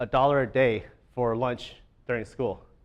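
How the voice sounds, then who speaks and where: Here a man talks at a moderate pace with a medium pitch and ordinary pitch variation. The background is quiet. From United States, Chinese immigrant family. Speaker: educator, conference speaker. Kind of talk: conference talk. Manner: casual, many fillers.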